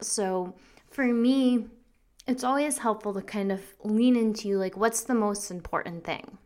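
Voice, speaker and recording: A woman with a normal speaking voice talks at a medium pitch and a moderate pace, with ordinary pitch variation, on a very clean recording with a silent background. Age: 30s. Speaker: podcast host, business coach. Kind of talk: solo monologue. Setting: home recording at computer. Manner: casual, many fillers and laughs.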